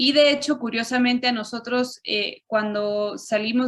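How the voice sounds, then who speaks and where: A woman's high voice at a moderate pace. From Chile and Mexico (left Chile at 6, raised in Mexico). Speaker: interviewee. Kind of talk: interview.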